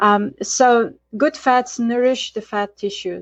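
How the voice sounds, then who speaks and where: A woman with a Bulgarian accent speaks at a fairly high pitch. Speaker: Ayurvedic chef and educator. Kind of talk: interview. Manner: hesitant with fillers.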